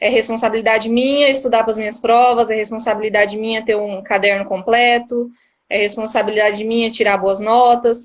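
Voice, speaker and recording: A woman's fairly high, monotone, flat voice at a fairly quick pace, in a very clean recording with a silent background. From Brazil, Mato Grosso do Sul (Três Lagoas). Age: 20s. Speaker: newly appointed court analyst. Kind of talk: live-stream interview.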